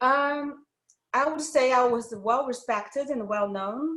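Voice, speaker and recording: A woman with a Chinese accent speaks with lively intonation. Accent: Mandarin Chinese accent in English. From China, Wuhan. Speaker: doctor, former TV host. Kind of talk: interview. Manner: halting.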